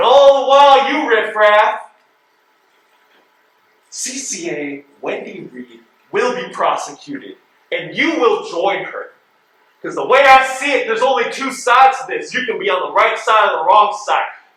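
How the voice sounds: Using a put-on character voice, a man speaks at a fairly slow pace with a high pitch, a bright, sharp tone, big pitch swings and strong room echo.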